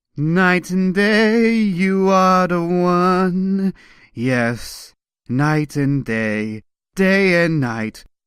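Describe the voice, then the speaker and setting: In a put-on character voice, a man speaks very slowly at a high pitch with lively intonation, on a very clean recording with a silent background. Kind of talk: comic book reading.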